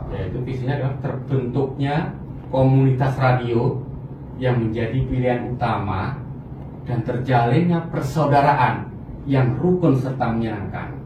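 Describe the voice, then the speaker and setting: A man talks at a medium pitch and fairly slow pace, with fairly even intonation. Noticeable background noise runs underneath. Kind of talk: interview answer.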